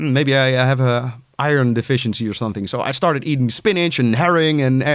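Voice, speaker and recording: A man talks at a very fast pace with lively intonation. He speaks in a Dutch accent. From Netherlands. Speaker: music producer and artist coach. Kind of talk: casual interview chat. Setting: studio.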